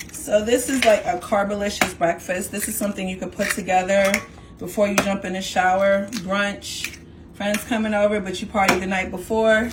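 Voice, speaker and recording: Against noticeable background noise, a woman with a New York accent speaks at a medium pitch and moderate pace. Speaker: home cook. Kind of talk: cooking tutorial. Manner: animated.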